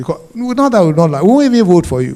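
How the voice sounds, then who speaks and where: A man's dark, mellow tone. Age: 70s. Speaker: panelist. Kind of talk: panel speech. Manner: animated.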